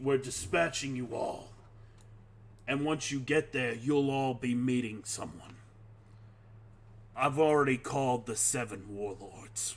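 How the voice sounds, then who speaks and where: A raspy, put-on character voice from a man at medium pitch, fairly slow in pace with long, frequent pauses. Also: ordinary pitch variation. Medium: actual play. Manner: commanding, cold.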